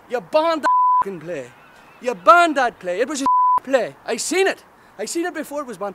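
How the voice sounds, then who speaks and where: Over loud background noise, a man projects a raised voice at an extremely high pitch, talking at a fairly quick pace. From Northern Ireland. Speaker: stand-up comedian. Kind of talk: stand-up comedy promo with live-style ranting. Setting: direct-to-camera promo video. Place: waterside. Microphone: phone near.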